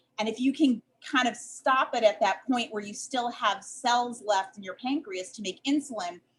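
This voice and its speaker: A woman's somewhat breathy, fairly high-pitched voice in a Chicago accent, at a moderate pace with ordinary pitch variation. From US Midwest, Chicago. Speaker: dietitian and diabetes educator. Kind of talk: podcast interview.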